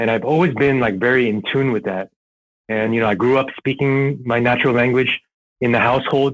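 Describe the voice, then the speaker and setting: A man with an American accent speaks in an ordinary speaking voice at a medium pitch and a fairly quick pace. His loudness is very even and his intonation fairly even. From Southern California and New York. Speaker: airsoft player. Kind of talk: casual podcast interview. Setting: podcast recording, audio only.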